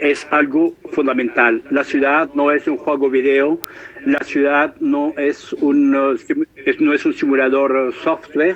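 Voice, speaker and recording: Speaking very slowly, a man is heard through noticeable background noise. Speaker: professor. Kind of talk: lecture. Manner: halting, many hesitations.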